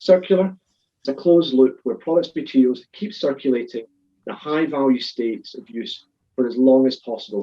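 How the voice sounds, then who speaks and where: A man speaks in a Scottish accent at a fairly quick pace. His tone is dark and mellow, and his intonation is lively. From Scotland. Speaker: supply chain consultant. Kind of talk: webinar panel talk. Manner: fast.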